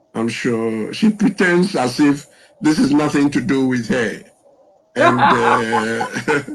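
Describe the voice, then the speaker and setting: Music sits in the background as a man speaks at a very slow pace. His fairly high voice has lively intonation. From Ghana (Accra, Jamestown). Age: 70s. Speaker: birthday interview guest, business consultant. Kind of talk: interview.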